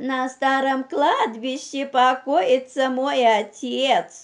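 A female-sounding, put-on character voice whines at a high pitch. It moves at a very slow pace. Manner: plaintive, deceitful.

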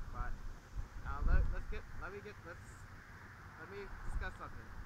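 Loud background noise runs under a man's speech. The audio is dry, with no echo at all. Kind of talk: casual vlog chat. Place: open country.

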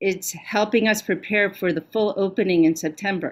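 A woman at a moderate pace, ordinary pitch variation, quiet background. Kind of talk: formal report to a board meeting. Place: home room.

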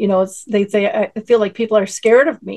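A woman has a normal speaking voice at medium pitch. She talks at a moderate pace with fairly even intonation. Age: 60s. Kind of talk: panel discussion.

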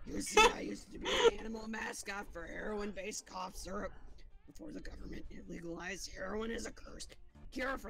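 Over clear background noise, a raspy put-on character voice moves at a fairly quick pace. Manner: terrifying.

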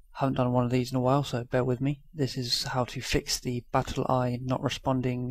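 A man speaks quietly at a medium pitch. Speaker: YouTuber. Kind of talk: tutorial. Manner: casual.

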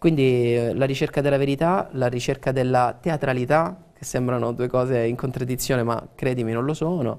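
An ordinary speaking voice from a man, medium in pitch, with fairly even intonation, a moderate pace and hardly any pauses. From Teramo, Abruzzo; Abruzzo. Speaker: actor. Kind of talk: TV interview. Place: studio. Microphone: lapel.

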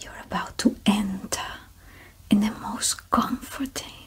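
The woman speaks very slowly. Her words come out as a whisper. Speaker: relaxation guide. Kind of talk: sleep relaxation guidance. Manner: slow, calm. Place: home room. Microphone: studio mic.

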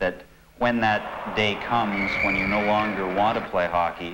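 Fairly slow male speech against loud background noise. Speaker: interviewee. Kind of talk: interview answer. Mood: calm, reflective. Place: home room.

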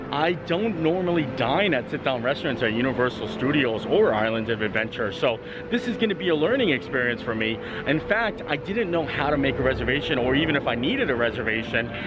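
Talking at a very fast pace, the man sounds dry with no echo while noticeable background noise runs underneath. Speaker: theme park vlogger. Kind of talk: casual vlog chat. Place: street. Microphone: phone near.

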